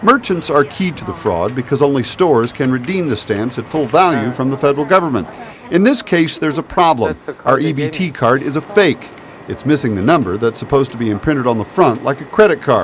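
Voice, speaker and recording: Against noticeable background noise, a man talks with lively intonation at a fairly high pitch. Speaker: TV news reporter. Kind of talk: TV news report.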